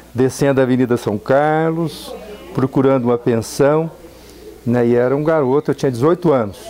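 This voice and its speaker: A man speaks at a medium pitch and moderate pace with very even loudness, over noticeable background noise. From Brazil, São Paulo state (Araçatuba). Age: 60s. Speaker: university professor and engineer. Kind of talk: interview, personal recollection. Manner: hesitant, repeats words.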